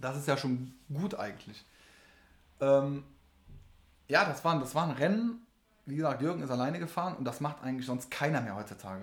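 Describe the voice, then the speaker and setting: A man with a fairly high pitch speaks at a moderate pace, sounding somewhat breathy. He leaves long, frequent pauses. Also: lively intonation. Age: 30s. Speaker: race mechanic. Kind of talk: casual chat.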